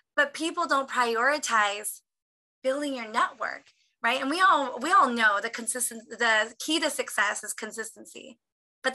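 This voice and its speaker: A woman speaks in a raised, projected voice with a high pitch and a bright, sharp tone, animated and with lively intonation. Her pace is moderate against a quiet background. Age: 30s. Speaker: motivational speaker. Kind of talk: motivational talk.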